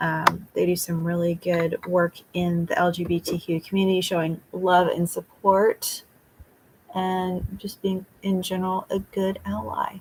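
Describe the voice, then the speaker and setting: Somewhat breathy and medium in pitch, a woman speaks at a fairly slow pace in a monotone, flat intonation. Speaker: beauty vlogger. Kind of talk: casual chat. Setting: livestream.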